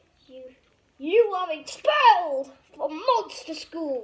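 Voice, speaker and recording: Using a put-on character voice, a woman speaks at an extremely high pitch and a very slow pace. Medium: read story.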